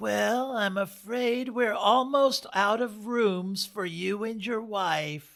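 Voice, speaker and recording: A put-on character voice, fairly high in pitch, moves at a very slow pace with hardly any pauses. The recording is very clean, with a silent background. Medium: read story. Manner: curt, disapproving.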